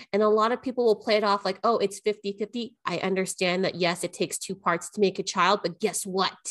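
With a normal speaking voice at medium pitch, a woman speaks at a fairly quick pace and fairly even intonation, in a dry, close sound with no echo. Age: 30s. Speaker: life coach podcast co-host. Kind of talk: casual chat.

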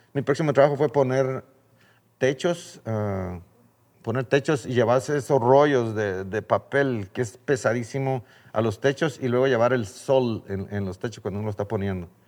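Over a quiet background, a man speaks with a Guatemalan accent at medium pitch, a moderate pace, and ordinary pitch variation. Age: 60s. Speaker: birdwatching guide and children's charity founder. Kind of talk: interview.

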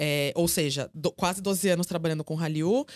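On a very clean recording with a silent background and a dry, close sound with no echo, a woman speaks at a moderate pace with lively intonation in a normal speaking voice. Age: 30s. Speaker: journalist and content creator. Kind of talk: casual chat.

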